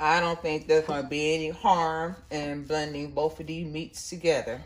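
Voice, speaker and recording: A woman with an American accent speaks at a very deep, low pitch. Her intonation is monotone and flat, while her loudness swings widely. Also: moderate pace. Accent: southern US accent, comes and goes. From US Midwest. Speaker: cooking channel host. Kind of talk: cooking tutorial. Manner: warm, chatty.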